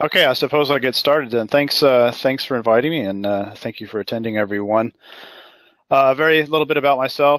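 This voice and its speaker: Talking at a very fast pace, a man holds a medium pitch with ordinary pitch variation. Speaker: currency strategist. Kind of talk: webinar presentation. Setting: webinar.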